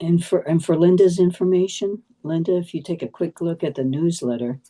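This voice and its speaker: A woman speaks quietly and fairly quickly, her fairly low voice dark and mellow in tone, with ordinary pitch variation. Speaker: neighborhood association committee member. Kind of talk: meeting discussion. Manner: normally loud; too quiet.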